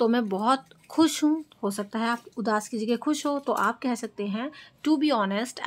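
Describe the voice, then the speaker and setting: A woman speaks in an unremarkable speaking voice, fairly high in pitch. Her pace is moderate and her pitch varies in an ordinary way. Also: very clean recording, silent background. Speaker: English teacher. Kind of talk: tutorial.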